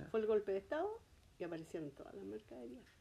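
A woman with a Chilean accent speaks in a dark, mellow tone. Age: 70s. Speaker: grandmother interviewed by grandson. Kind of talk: oral history interview.

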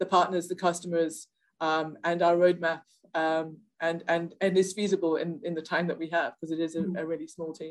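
A woman with a South African accent, fairly low pitch, monotone, flat intonation and a fairly quick pace. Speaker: software product manager. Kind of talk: interview. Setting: office.

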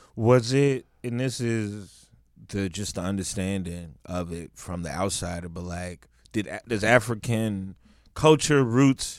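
A man's fairly low voice at a fairly slow pace, with ordinary pitch variation, big swings in loudness and a very clean recording over a silent background. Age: 30s. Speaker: comedian and podcast host. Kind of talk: casual chat.

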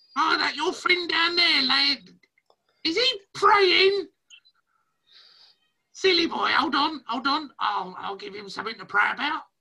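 In a put-on character voice, the speaker uses a high pitch at a fairly slow pace with long, frequent pauses. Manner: chirpy, chatty, gleeful.

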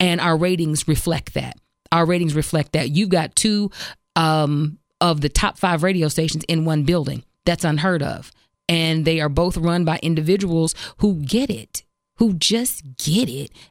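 A woman speaks in an ordinary speaking voice at fairly low pitch and a moderate pace. Her ordinary pitch variation comes through on a very clean recording with a silent background. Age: 40s. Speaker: radio host. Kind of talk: casual chat.

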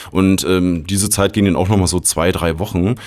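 A man with a very deep, low pitch talks at a fairly quick pace in a relaxed tone. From Berlin. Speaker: technical support agent. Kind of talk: casual interview.

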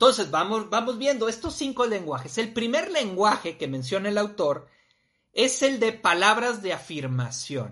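Over a quiet background, a man with a Mexican accent speaks at a fairly slow pace, his high pitch making very wide swings in a bright, sharp tone. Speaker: live-stream talk host. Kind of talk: live-streamed personal development talk. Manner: casual, with frequent fillers.

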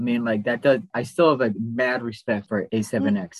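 The speaker is a man with an ordinary speaking voice. His words come at a moderate pace. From Wisconsin. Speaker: podcast co-host. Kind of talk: casual chat.

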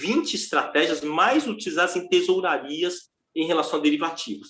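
An ordinary speaking voice from a man, with lively intonation at a moderate pace. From foreign-born, not Brazilian. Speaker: derivatives trader and teacher. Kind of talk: casual interview chat.

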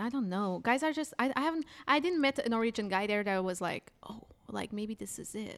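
The speaker has a Portuguese accent and lively intonation at a moderate pace. The recording is very clean with a silent background. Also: woman. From Portugal. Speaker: stand-up comedian. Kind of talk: casual chat. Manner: animated.

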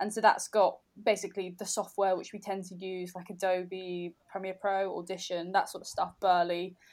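A woman at a moderate pace with hardly any pauses, monotone, flat intonation and big swings in loudness, on a very clean recording with a silent background. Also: medium pitch for a woman. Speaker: podcast host. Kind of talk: casual chat.

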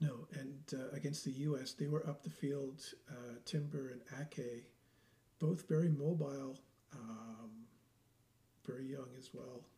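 With long, frequent pauses and big swings in loudness, a man talks at a fairly slow pace in a fairly high pitch, his somewhat breathy voice dark and mellow in tone with fairly even intonation. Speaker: football podcast host. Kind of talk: casual chat about football.

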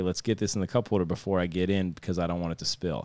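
Very deep and low in pitch, a man talks with an American accent. He speaks at a very fast pace. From northeast Ohio, Youngstown area. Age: 30s. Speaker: skateboarder. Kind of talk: casual chat.

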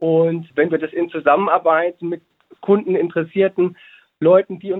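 Intonation stays fairly even as a man speaks at a high pitch. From Hesse, Germany (Babenhausen). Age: 30s. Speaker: educator and business co-founder. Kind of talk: interview.

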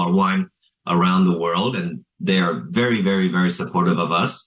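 With a Northeastern US accent, a man speaks at a very deep, low pitch. His pace is moderate and his pitch variation ordinary. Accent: American, US Northeast. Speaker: businessman. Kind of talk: interview.

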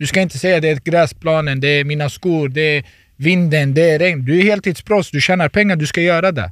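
A man with an ordinary speaking voice talks at a fairly high pitch with ordinary pitch variation, recorded very cleanly against a silent background. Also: fairly quick pace. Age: 30s. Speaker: professional footballer. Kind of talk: casual chat. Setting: studio.

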